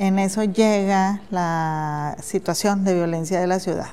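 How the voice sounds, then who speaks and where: Dark and mellow in tone, a woman's medium-pitched voice keeps fairly even intonation. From Monterrey, northern Mexico. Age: 50s. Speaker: social activist, nonprofit founder. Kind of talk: interview. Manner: halting, many repetitions and fillers.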